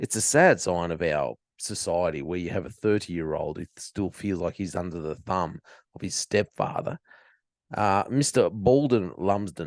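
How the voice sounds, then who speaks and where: A man with an Australian accent at a moderate pace, fairly low in pitch with ordinary pitch variation, in a dry, close sound with no echo and a quiet background. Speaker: podcast host. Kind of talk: commentary on news story. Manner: casual, sarcastic.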